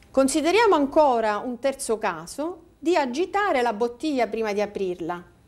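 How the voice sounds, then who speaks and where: A high-pitched woman at a moderate pace, with very wide pitch swings and hardly any pauses. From Sicily, Palermo; Sicily. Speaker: volcanologist; guest. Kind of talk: interview. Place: studio. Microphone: lapel.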